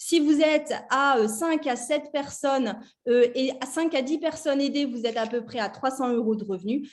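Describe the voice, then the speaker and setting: A woman talks in a high pitch with ordinary variation in her intonation. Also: moderate pace. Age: 40s. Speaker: network marketing distributor. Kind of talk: sales pitch.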